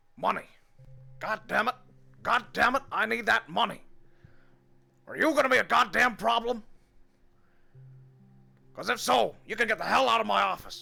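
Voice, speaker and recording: In a put-on character voice, a man speaks at an extremely high pitch and a moderate pace with an angry tone. Long, frequent pauses break up his speech while faint music plays in the background. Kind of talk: gruff, commanding. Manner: angry, aggressive, demanding.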